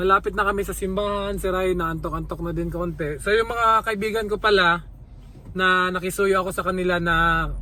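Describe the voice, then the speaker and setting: A man in a raised, projected voice speaks at a moderate pace with a high pitch, a bright, sharp tone and monotone, flat intonation. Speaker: vlogger. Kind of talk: casual vlog. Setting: in a car. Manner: casual, halting.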